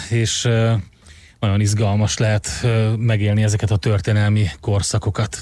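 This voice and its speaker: A man speaks at a fairly slow pace with a fairly low pitch and fairly even intonation, in a plain, everyday voice. The background is quiet. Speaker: radio host. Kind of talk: morning radio show chat. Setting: radio studio.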